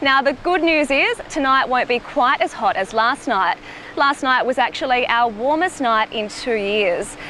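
A woman speaks at a fairly slow pace in a raised, projected voice. The sound is dry with no echo, over light background noise. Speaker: TV news reporter. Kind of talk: live news report. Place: beach.

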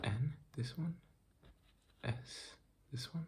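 A man is speaking. He whispers throughout. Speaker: ASMR creator doing a medical roleplay. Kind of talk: fast ASMR roleplay addressed to the viewer. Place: home room. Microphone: phone near.

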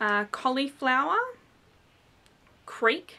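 A woman's very slow delivery with lively intonation. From Australia, New South Wales. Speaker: beauty vlogger; vlogger. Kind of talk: vlog tag, reading word list. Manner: casual, many fillers. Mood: relaxed, lightly amused. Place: home room. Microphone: webcam.

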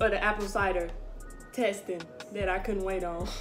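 With clear music in the background, a woman speaks with fairly even intonation. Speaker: food taste-test vlogger. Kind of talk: casual vlog chat.

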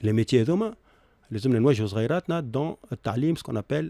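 A man's dark, mellow voice with lively intonation at a fairly quick pace, dry with no echo, against a quiet background. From Tunisia. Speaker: accountant and university professor; university professor. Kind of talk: radio interview. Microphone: studio mic.

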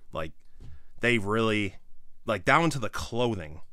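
Against a quiet background, a man speaks at a moderate pace with a fairly low pitch and lively intonation. His tone is bright and sharp, and the sound is dry with no echo. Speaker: toy reviewer. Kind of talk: casual product review commentary. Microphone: phone near.

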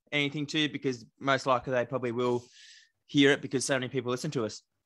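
Speaking very fast in an Australian accent, a man with a medium-pitched, bright, sharp tone keeps his intonation fairly even against a quiet background. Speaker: podcast co-host. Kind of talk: casual chat.

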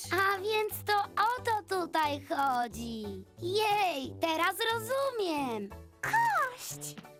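A put-on character voice at an extremely high pitch, delivered at a very slow pace over clear music in the background. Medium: fan dub. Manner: wry, sarcastic.

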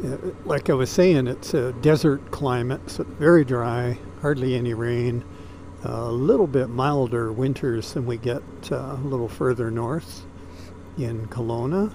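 A man at a fairly slow pace with ordinary pitch variation, a dry sound with no echo and light background noise. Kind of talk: casual ride commentary. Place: motorbike. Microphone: helmet.

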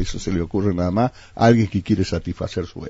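A very fast, somewhat breathy man with a very deep, low pitch and ordinary pitch variation, dry with no echo, over a quiet background. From Argentina, San Luis province (Villa Mercedes). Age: 60s. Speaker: politician. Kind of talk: radio interview. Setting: radio studio. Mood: critical, indignant. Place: studio. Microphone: studio mic.

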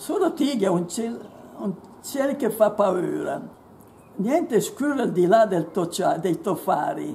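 A woman with a fairly high pitch speaks at a fairly slow pace, leaving long, frequent pauses. Her pitch swings very widely. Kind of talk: poetry reading.

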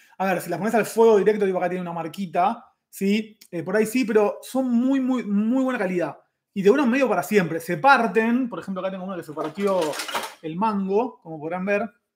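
A man with a Rioplatense accent at a high pitch, fairly quick pace and ordinary pitch variation, with big swings in loudness over light background noise. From Argentina. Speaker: chef and YouTuber; YouTuber. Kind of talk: live stream chat. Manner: casual, fast. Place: kitchen. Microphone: webcam.

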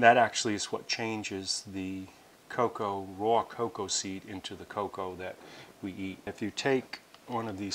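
Light noise sits in the background while a man talks at a moderate pace. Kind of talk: tutorial.

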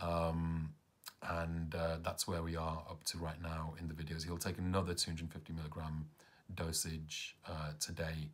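A man with a British accent, very deep and low in pitch, flat and monotone, at a fairly slow pace. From England. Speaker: caregiver of parent with Parkinson's. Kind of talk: vlog narration. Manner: hesitant, many fillers. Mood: calm, hopeful, a little tired. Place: home room. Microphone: phone near.

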